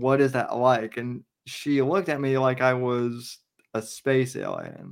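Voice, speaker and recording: An unremarkable speaking voice from a man, medium in pitch, at a fairly slow pace with fairly even intonation. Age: 30s. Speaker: podcast host. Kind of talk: casual chat.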